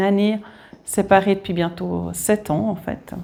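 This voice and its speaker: A woman is speaking. She has a Swiss accent. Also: very clean recording, silent background. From Switzerland. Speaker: guest preacher. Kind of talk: sermon. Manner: hesitant, many fillers.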